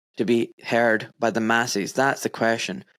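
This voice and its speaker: On a very clean recording with a silent background, a man speaks with a Scottish accent. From Scotland, Pakistani-Kashmiri heritage. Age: 40s. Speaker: podcast host, doctor. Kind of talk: casual interview chat.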